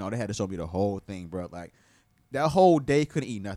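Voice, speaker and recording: A man with an American accent swings his pitch very widely. The recording is very clean, with a silent background. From Tampa, Florida. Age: 40s. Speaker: clothing brand co-founder. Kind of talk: casual chat. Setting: studio.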